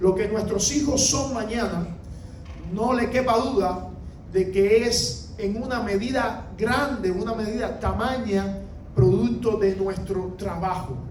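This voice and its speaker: This man talks at a very slow pace and a high pitch. Noticeable background noise and audible room echo surround him. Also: ordinary pitch variation. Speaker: pastor. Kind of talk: sermon.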